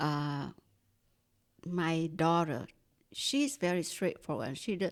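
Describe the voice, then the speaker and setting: Very slowly and with lively intonation, a woman with a Vietnamese accent talks at a fairly low pitch. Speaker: staff member. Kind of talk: casual chat. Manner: clear.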